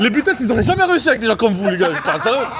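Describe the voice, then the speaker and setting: Crowd noise can be heard in the background. A man speaks with lively intonation and an energetic tone. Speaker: vlogger, Kings League footballer. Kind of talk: casual vlog talk. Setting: at home editing. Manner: fast, energetic; loud.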